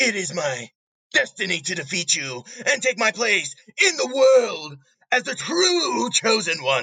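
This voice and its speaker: A man's bellowing, put-on character voice, high in pitch and fairly slow in pace. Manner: menacing, shouting, broken grammar.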